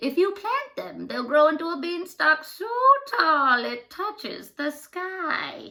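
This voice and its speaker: A woman's put-on character voice at an extremely high pitch, with lively intonation and a fairly slow pace. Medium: read story.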